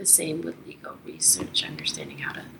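Through noticeable background noise, a woman whispers. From Toronto, Canada. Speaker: international trade lawyer. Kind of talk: interview. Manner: halting, many fillers.

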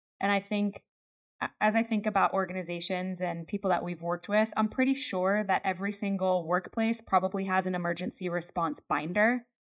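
This is a normal speaking voice with an American accent. The pace is fairly quick and the intonation fairly even. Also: woman, medium pitch for a woman. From Pennsylvania, US. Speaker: podcast co-host, leadership trainer. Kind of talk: casual chat.

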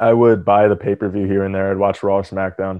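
With an American accent, a man talks at a very fast pace in a very deep, low pitch, his intonation monotone and flat. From New Jersey, Atlantic City. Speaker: professional wrestler. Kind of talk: interview.

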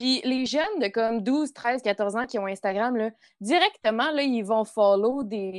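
A woman with a Quebec accent speaks at a fairly slow pace and fairly high pitch, with ordinary pitch variation. The sound is dry and close with no echo, over a quiet background. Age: 20s. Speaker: youth worker and sexology student, co-host. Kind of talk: casual chat.

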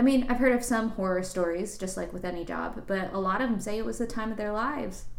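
A medium-pitched female voice at a fairly quick pace, with audible room echo and noticeable background noise. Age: 20s. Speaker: tech professional. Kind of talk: casual chat.

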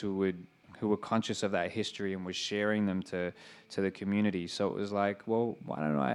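At a fairly quick pace, a man speaks in a fairly low pitch with an Australian accent and fairly even intonation. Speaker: rapper. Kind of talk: interview on stage. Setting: stage with audience.

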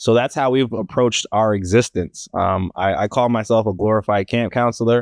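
A plain, everyday voice from a man with an American accent, medium in pitch with ordinary pitch variation, very even loudness and hardly any pauses, in a dry, close sound with no echo against a quiet background. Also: moderate pace. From Maryland, US. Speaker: startup co-founder, financial educator. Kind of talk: casual interview.

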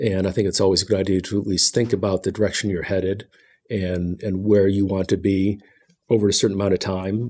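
With a dark, mellow tone, a man talks at a fairly quick pace in a fairly low pitch, his intonation monotone and flat. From Ohio, Cleveland. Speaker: state geologist. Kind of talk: casual interview. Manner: halting, frequent repetitions.

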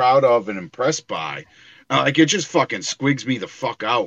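A man with a plain, everyday voice. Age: 40s. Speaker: comic and toy collector. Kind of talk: casual chat.

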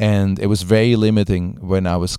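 A man's fairly low voice has a dark, mellow tone and ordinary pitch variation, captured in a very clean recording with a silent background and a dry, close sound with no echo. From Switzerland, industrial region. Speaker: visual artist. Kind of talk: interview.

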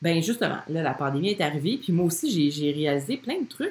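Lively intonation and a somewhat breathy, fairly low pitch from a woman with a Quebec accent. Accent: Québécois French. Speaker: podcast host, business coach for women entrepreneurs. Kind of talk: casual monologue from a Facebook live. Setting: live video stream recorded at home. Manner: spontaneous, frequent laughter and filler words.

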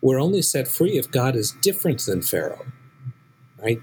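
With an American accent, a man talks at a moderate pace. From US West Coast, San Francisco. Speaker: rabbi and professor. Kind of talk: interview.

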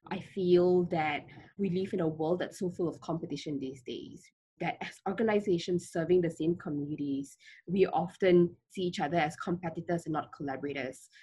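Somewhat breathy and dark, mellow in tone, this woman talks at a fairly quick pace with a fairly low pitch and fairly even intonation. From Malaysia, Kuala Lumpur. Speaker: founder of a refugee education charity. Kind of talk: interview.

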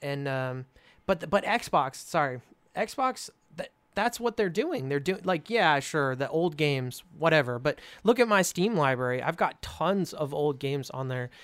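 A man speaks with an American accent in an unremarkable speaking voice. His fairly high pitch carries lively intonation at a fairly slow pace. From California. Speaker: YouTuber. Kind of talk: casual chat.

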